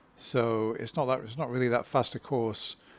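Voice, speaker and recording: Monotone, flat intonation in an English accent. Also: man. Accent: English (England). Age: 60s. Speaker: amateur runner vlogger. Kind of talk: casual vlog monologue. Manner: hesitant, many fillers.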